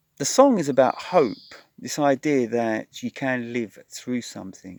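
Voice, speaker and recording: Fairly slow speech comes through a very clean recording with a silent background, dry and close with no echo. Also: man. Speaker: songwriter. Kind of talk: casual talk to camera about a song.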